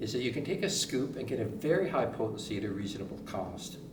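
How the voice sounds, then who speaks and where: The speech moves at a moderate pace over noticeable background noise, with room echo audible throughout. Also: man. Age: 70s. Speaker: natural medicine expert promoting a product. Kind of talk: product presentation.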